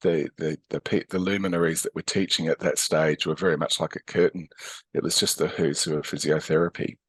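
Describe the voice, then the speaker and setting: With an Australian accent, a man talks at a fairly quick pace in a dry, close sound with no echo against a quiet background. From Australia, Adelaide. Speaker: physiotherapist and educator. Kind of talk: interview conversation. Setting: podcast interview. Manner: hesitant with many fillers.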